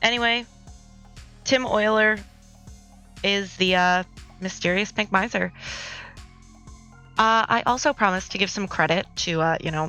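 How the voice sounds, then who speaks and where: With music in the background, a woman talks at a moderate pace and a medium pitch. Her pitch varies in an ordinary way, and she takes long, frequent pauses. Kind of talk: speed art commentary, scripted read.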